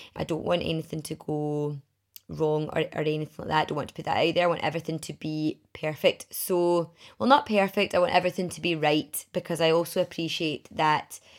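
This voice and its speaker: A woman with a Glaswegian accent speaks at a fairly low pitch and a fairly quick pace. The recording is very clean, and the background is silent. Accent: Glaswegian Scottish. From Scotland, Glasgow area (Milngavie). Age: 30s. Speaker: podcast host and women's networking group founder. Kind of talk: casual solo podcast talk.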